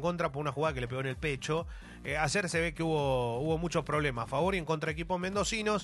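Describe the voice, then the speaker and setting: A man's fairly high-pitched voice at a very fast pace, with ordinary pitch variation. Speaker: football journalist. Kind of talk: radio sports chat.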